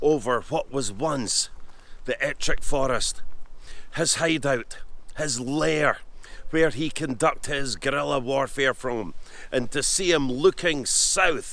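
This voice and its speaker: Speaking very slowly in a Scottish accent, a man leaves long, frequent pauses. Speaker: history presenter. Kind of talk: documentary talk to camera on location. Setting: outdoors.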